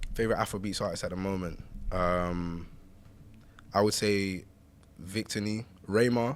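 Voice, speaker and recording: A man with a London accent speaks in a fairly low pitch. He takes long, frequent pauses. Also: moderate pace. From East London, England. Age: 20s. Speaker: rapper and singer. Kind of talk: casual chat.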